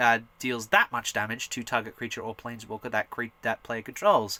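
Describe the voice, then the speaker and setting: A man talks at a fairly quick pace with a bright, sharp tone. The sound is dry and close, with no echo. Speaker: hobby gaming channel host. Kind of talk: casual card deck tech tutorial. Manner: animated; loud.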